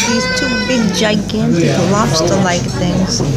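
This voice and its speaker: Loud background noise runs beneath speech delivered at a very slow pace. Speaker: traveling food vlogger. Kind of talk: casual vlog chat. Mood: delighted, savoring food. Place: bar. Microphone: phone near.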